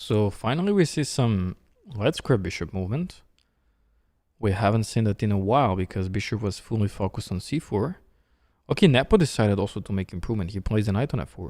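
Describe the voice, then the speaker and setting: A man with a Serbian accent speaks at a very fast pace. His fairly low voice has lively intonation. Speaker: chess streamer and commentator. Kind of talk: live chess commentary. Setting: studio. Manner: casual, conversational.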